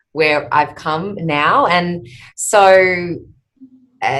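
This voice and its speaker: A woman is speaking. She has an Australian accent. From Australia, outback Queensland. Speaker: speech therapist and company founder. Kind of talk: podcast interview. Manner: hesitant, many fillers.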